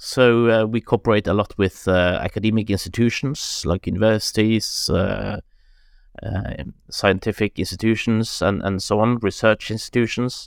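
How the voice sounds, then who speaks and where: The sound is dry and close with no echo as a man with a Norwegian accent talks at a moderate pace, fairly low in pitch, with fairly even intonation. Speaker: director of a climate foundation. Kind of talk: interview. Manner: halting.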